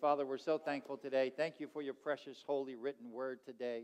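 Crowd noise fills the background. A man talks at a moderate pace. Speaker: pastor. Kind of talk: sermon. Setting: church. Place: church. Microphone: headset.

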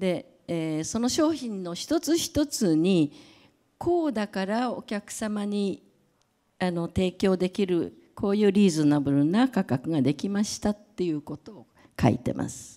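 A woman with a dark, mellow tone speaks at a fairly slow pace, her pitch swinging very widely and her loudness rising and falling sharply against a quiet background. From Japan. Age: 70s. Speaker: creative director and brand advisor; speaker. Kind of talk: lecture; public talk. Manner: halting, many fillers. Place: hall. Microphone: handheld.

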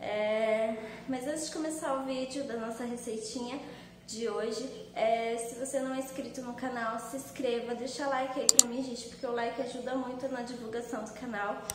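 A woman speaks through loud background noise and audible room echo. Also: moderate pace. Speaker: home cooking channel host. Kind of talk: casual vlog chat. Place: kitchen. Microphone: phone near.

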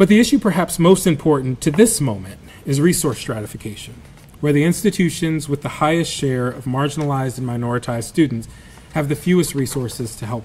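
Over light background noise, a man talks at a very fast pace with lively intonation and big swings in loudness. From South Alabama. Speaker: journalist and author; journalist. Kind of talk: lecture; Q&A answers. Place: hall. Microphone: podium.

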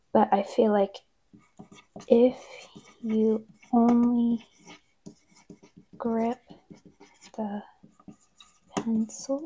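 A soft-spoken woman talks very slowly in a dark, mellow tone. Her delivery is flat and monotone, with long, frequent pauses. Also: fairly high pitch for a woman. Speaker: ASMR creator. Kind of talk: ASMR soft-spoken talk to camera. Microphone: lapel.

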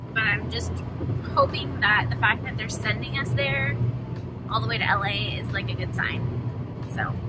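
Loud background noise sits behind the voice. A woman speaks at a moderate pace. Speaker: parent vlogger. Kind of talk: casual vlog chat. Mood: worried but hopeful.

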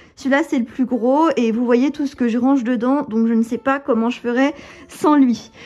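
Moderate pace with fairly even intonation. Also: woman, high pitch for a woman. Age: 20s. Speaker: lifestyle vlogger and wellness coach; lifestyle vlogger. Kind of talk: apartment tour vlog. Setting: at home. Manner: casual, many fillers. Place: home room. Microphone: phone near.

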